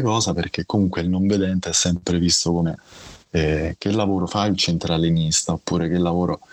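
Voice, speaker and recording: A man with a very deep, low pitch speaks at a fairly quick pace and very even loudness. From Rome, Italy. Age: 40s. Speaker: blind guest sharing illness story. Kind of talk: interview testimony. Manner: halting, repeats words.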